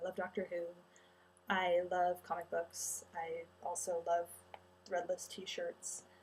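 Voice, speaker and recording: In an American accent, the speaker talks at a very slow pace with long, frequent pauses. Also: woman. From Utah. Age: 20s. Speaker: college student vlogger. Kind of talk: casual vlog introduction. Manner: casual, with many filler words.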